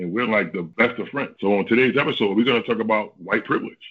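A man talks fast in a fairly low voice, slightly husky at the edges, with ordinary pitch variation.

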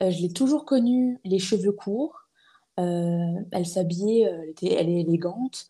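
Somewhat breathy and dark, mellow in tone, a woman speaks at a medium pitch and a very slow pace with lively intonation. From eastern France (Épinal, Vosges). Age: 20s. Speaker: podcaster. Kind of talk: casual interview conversation. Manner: hesitant, many fillers and repetitions.

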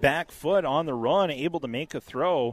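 With a plain, everyday voice, a man talks at a moderate pace using lively intonation. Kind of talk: live commentary.

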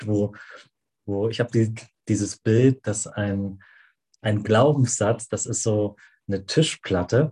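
A very slow, somewhat breathy man's voice, fairly low with a dark, mellow tone and fairly even intonation, long, frequent pauses, dry, close sound with no echo and a quiet background. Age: 40s. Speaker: podcast co-host. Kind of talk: casual conversational podcast.

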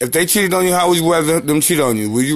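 A man's fairly high voice, animated and very fast, with ordinary pitch variation and noticeable background noise. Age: 30s. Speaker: podcast co-host. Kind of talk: casual chat.

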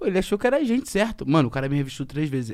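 A man with a fairly high pitch, lively intonation and a very fast pace. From Rio de Janeiro state, Brazil. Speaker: rapper. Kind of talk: casual chat.

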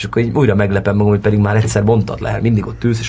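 A man talks at a very fast pace, with audible room echo and noticeable background noise. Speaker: actor. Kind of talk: interview.

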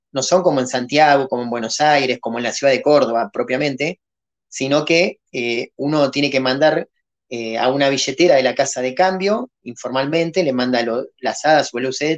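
At a moderate pace, a man talks in a normal speaking voice, fairly high in pitch with ordinary pitch variation. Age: 40s. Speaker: crypto project founder. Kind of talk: podcast interview.

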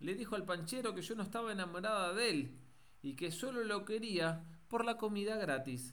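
The pitch varies in an ordinary way as a text is read aloud in a natural voice.

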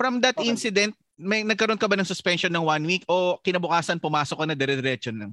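A man talks at a very fast pace with a high pitch, a bright, sharp tone and lively intonation, recorded dry and close with no echo. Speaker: podcast host. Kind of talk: casual chat.

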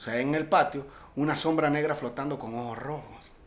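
With a normal speaking voice, a man talks at a fairly quick pace in a fairly high pitch. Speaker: podcast co-host. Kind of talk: casual chat.

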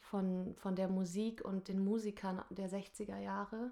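The intonation is monotone and flat. A woman's voice sits at a medium pitch. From northern Germany, Lower Saxony (Nordhorn). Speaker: singer and musical performer. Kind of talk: casual interview chat. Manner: hesitant with many fillers.

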